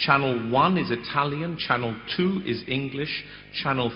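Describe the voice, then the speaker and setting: Audible room echo surrounds the speaker. The delivery is fairly slow, with a British accent. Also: man. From United Kingdom. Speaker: conference moderator. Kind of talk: conference moderation. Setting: conference hall with audience.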